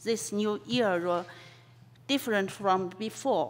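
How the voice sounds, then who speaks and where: Speaking with a Chinese accent, a woman uses a fairly high pitch and ordinary pitch variation. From China. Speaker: professor. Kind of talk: lecture. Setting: conference hall.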